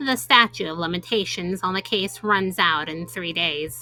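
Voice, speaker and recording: Using a put-on character voice, a woman speaks at a moderate pace. Her pitch is medium, with ordinary variation. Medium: game stream. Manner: reserved, formal.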